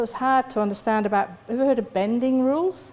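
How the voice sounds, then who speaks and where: Delivered at a moderate pace, the speech carries a West Country accent and ordinary pitch variation. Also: woman. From West Country, England. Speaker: psychologist and lecturer. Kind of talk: conference talk.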